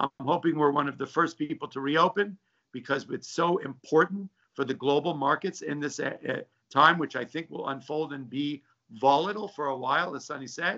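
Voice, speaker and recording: A man in a plain, everyday voice talks fairly quickly at a fairly high pitch with ordinary variation. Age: 60s. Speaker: stock trader. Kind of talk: interview. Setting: video call from home.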